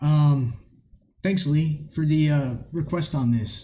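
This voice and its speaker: In a room with audible echo, a man speaks in a somewhat breathy, dark, mellow voice that is fairly high in pitch and fairly even in intonation. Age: 30s. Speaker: music reaction youtuber. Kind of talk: casual reaction commentary. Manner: halting, many fillers.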